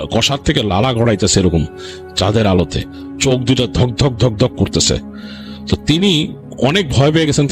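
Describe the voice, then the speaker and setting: Over music in the background, a man speaks in a dramatic tone with very wide pitch swings and very even loudness. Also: medium pitch for a man. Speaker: horror story narrator / radio host. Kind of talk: horror story narration. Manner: dramatic, suspenseful storytelling.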